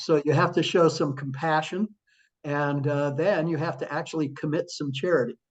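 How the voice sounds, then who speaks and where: Fairly slow speech from a man with an unremarkable speaking voice and a fairly high pitch. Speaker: author and former attorney, church member. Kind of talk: interview answer. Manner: warm, conversational.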